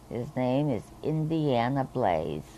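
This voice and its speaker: A woman is speaking. Her pace is very slow. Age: 70s. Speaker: hospice patient. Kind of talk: testimony. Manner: halting.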